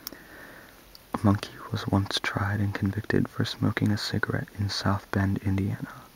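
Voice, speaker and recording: A man whispers at a fairly slow pace with long, frequent pauses. Noticeable background noise is present. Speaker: ASMR video creator. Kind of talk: ASMR soft-spoken random facts reading. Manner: soft-spoken, whispery.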